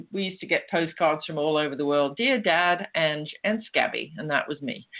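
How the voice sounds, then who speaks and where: A woman's very deep, low voice in an English accent, at a moderate pace with ordinary pitch variation. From England. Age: 60s. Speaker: step-sister of a famous musician. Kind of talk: interview.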